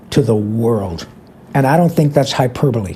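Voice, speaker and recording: A man talks while clearly audible noise fills the background. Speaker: voice actor. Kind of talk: interview answer.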